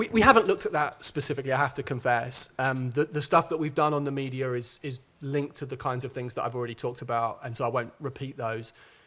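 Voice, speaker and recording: Talking at a very fast pace with hardly any pauses, a man with a medium pitch, a bright, sharp tone and ordinary pitch variation speaks. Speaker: sociologist, keynote speaker. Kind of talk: conference Q&A answers.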